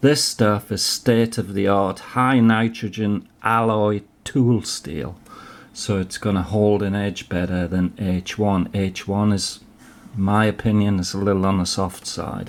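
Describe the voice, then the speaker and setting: With fairly even intonation, a man with a fairly low pitch speaks at a fairly slow pace. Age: 50s. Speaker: knife reviewer. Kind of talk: product review. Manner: casual, hesitant with fillers.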